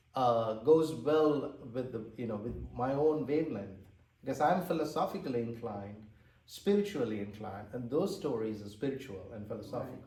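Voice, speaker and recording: With a Tamil accent, a man talks at a moderate pace and medium pitch. Room echo is audible. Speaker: author and translator. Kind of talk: interview. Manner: hesitant, many fillers.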